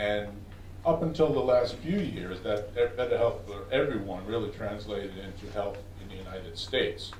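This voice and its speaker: With a New York accent and lively intonation, a man speaks with big swings in loudness amid audible room echo and noticeable background noise. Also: fairly low pitch for a man. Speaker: research scientist. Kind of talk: conference presentation. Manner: fast.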